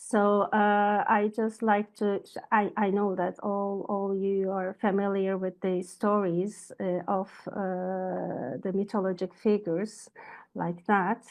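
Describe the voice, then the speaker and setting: Speech comes at a very slow pace with a Turkish accent. The intonation is monotone and flat. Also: woman, medium pitch for a woman. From Turkey. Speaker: astrologer. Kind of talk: lecture. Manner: halting, many fillers.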